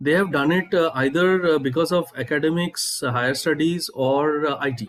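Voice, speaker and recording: With an Indian accent, a man speaks in fairly even intonation. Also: moderate pace. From India, Bengal. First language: Bengali. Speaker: startup founder. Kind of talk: interview. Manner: halting, many fillers.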